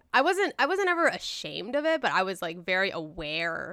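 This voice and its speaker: The speaker is a woman talking at a moderate pace. The recording is very clean, with a silent background. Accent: American. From US, Southern California (San Gabriel Valley). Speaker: guest interviewee. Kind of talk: casual chat. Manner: giggly, uses 'like' a lot.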